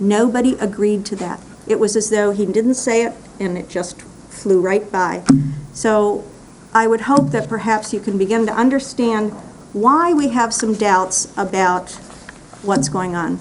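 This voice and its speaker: Against noticeable background noise, the voice moves at a fairly slow pace with ordinary pitch variation. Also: woman, fairly high pitch for a woman. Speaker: public commenter at county meeting. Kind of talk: public comment.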